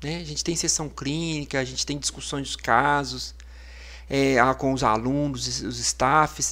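A man talks fairly slowly. His recording is very clean, and the background is silent. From Minas Gerais, Brazil (Amparo do Serra). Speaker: physician, ICU coordinator. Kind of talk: casual interview. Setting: studio, live podcast.

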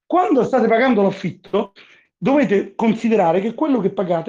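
Against a quiet background, a man with a high pitch speaks very fast in an animated tone with lively intonation. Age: 50s. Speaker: libertarian Bitcoin advocate. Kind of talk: casual chat.

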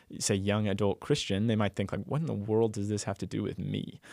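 In a very clean recording with a silent background and a dry, close sound with no echo, a man with an American accent uses a normal speaking voice, a fairly low pitch and a fairly quick pace. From Texas. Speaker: university ministry director. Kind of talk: casual chat.

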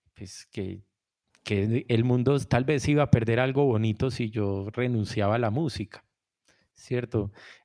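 A man speaks very slowly at a medium pitch, his dark, mellow tone held to fairly even intonation against a quiet background. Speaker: musician and music producer. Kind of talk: interview.

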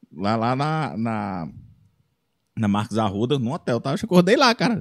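The recording is very clean, and the background is silent. A man talks at a moderate pace with lively intonation. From Brazil, Ceará interior. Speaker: comedian and singer-songwriter. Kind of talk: casual chat. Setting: studio.

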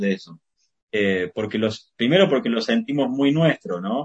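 A somewhat breathy man talks at a moderate pace with very wide pitch swings. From Argentina, Córdoba. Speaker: poet and journalist. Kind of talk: interview. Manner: halting, many fillers and repetitions.

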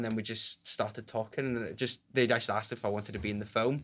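Talking at a very fast pace, a man with a Glaswegian accent keeps a fairly even intonation on a very clean recording with a silent background. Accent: Glaswegian Scottish. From Scotland, Glasgow (Pollok, south side). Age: 20s. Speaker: ukulele player and musician. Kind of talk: casual interview chat. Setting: studio.

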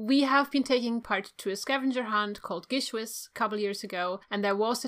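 A woman speaks with a German accent in a fairly high, bright and sharp voice, her pitch varying an ordinary amount. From Germany. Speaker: podcast host. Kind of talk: casual chat.

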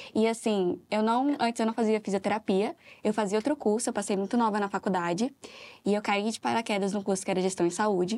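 On a very clean recording with a silent background, a normal speaking voice goes at a fairly quick pace with ordinary pitch variation. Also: woman, fairly high pitch for a woman. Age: 20s. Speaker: operations manager. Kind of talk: interview.

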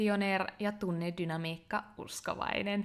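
At a very slow pace, a woman speaks with a medium pitch on a very clean recording with a silent background. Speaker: podcast host and online entrepreneur. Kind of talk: interview; scripted narration.

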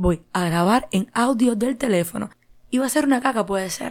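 Animated tone and ordinary pitch variation from a woman. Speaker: podcast host. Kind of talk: casual monologue.

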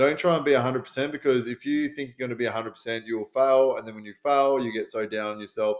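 On a very clean recording with a silent background, a man speaks very fast with fairly even intonation. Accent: Australian. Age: 30s. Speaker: podcast host, fitness coach and first responder. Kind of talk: casual solo podcast advice. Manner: casual, sweary, with many fillers.

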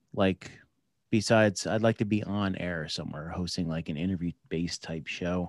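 A man with an American accent and an ordinary speaking voice talks at a moderate pace on a very clean recording with a silent background and a dry, close sound with no echo. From New Jersey, US. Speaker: veteran, federal agent and podcaster. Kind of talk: casual interview chat.

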